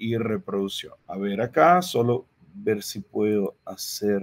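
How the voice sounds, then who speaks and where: Speaking at a very slow pace with a Portuguese accent, the voice swings very widely in pitch in a dry, close sound with no echo. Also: man. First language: Portuguese (speaking Spanish). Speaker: agronomy researcher and lecturer. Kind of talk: lecture. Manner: halting, with frequent repetitions.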